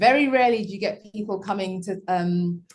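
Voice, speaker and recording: A somewhat breathy woman's voice of medium pitch in a British accent, with ordinary pitch variation. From UK. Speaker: school founder. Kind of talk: panel conversation. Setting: video call.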